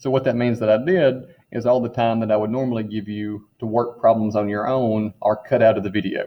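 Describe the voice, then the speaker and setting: At a fairly quick pace and with hardly any pauses, a man uses an unremarkable speaking voice of medium pitch and fairly even intonation. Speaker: high school chemistry teacher. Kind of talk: recorded class orientation.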